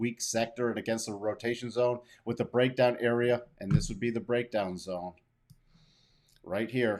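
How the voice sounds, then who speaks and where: A man talks in an ordinary speaking voice of medium pitch. His intonation is fairly even. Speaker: market analyst. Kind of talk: tutorial.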